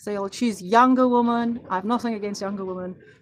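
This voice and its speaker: This woman has an unremarkable speaking voice, pitched fairly high, with ordinary variation in pitch. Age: 40s. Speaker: podcast host. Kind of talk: motivational monologue. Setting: livestream.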